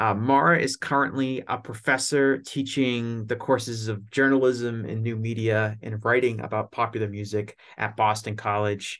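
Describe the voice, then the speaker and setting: A plain, everyday voice from a man, medium in pitch, at a moderate pace with fairly even intonation. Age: 20s. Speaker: podcast host. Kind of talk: scripted narration; casual chat.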